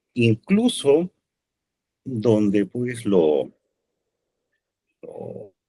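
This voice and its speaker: A man with a Peruvian accent and lively intonation, in a dry, close sound with no echo. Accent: Peruvian Spanish (Lima). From Peru, Lima. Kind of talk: podcast interview.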